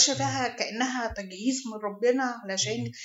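A woman's unremarkable speaking voice, fairly high in pitch, with ordinary pitch variation and a moderate pace. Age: 40s. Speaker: charity founder. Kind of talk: interview.

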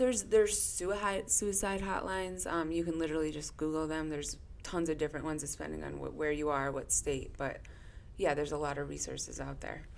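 A woman with an American accent talks at a fairly quick pace, with audible room echo around her. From Connecticut. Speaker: therapist. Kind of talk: casual chat.

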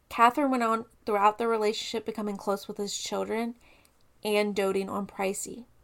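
The recording is very clean, with a silent background. A woman speaks at a medium pitch with fairly even intonation. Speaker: true crime podcast co-host. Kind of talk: storytelling case narration.

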